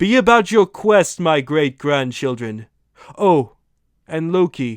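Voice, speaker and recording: Putting on a character voice, a man speaks with a fairly high pitch at a fairly slow pace. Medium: solo performance. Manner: archaic, solemn.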